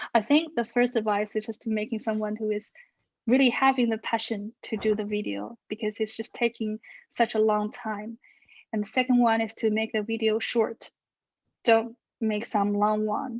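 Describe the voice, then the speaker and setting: A woman speaks with a Chinese accent. Her voice is fairly high and flat, in a monotone. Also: moderate pace. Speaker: researcher and social media influencer. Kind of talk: Q&A in an online talk. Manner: hesitant, with fillers.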